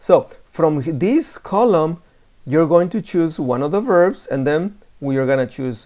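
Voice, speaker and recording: Spoken with a Spanish accent, the clip is a very clean recording with a silent background. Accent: Spanish-speaking. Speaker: Spanish teacher. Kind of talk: lesson. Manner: casual.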